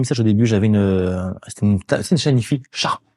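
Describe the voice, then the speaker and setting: At a very fast pace, a man talks in a medium-pitched, dark, mellow voice with ordinary pitch variation over a quiet background. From Paris suburbs, France (Courbevoie). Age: 40s. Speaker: DJ. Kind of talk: casual chat.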